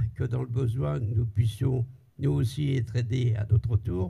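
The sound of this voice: In a medium pitch with a dark, mellow tone, a man speaks at a fairly slow pace, his fairly even intonation carrying a slightly husky edge and vocal fry.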